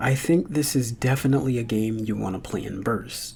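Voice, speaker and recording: Background music accompanies the talking. The man's pitch sits in the middle. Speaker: video game reviewer. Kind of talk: video essay voiceover. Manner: bored-sounding at times.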